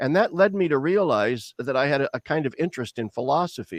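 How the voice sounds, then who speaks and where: Here a man talks with a Midwestern US accent at a fairly quick pace with ordinary pitch variation. The background is quiet, and the sound is dry and close, with no echo. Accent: General American (Midwestern). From US Midwest, Lincoln, Nebraska. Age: 60s. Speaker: theologian. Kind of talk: interview.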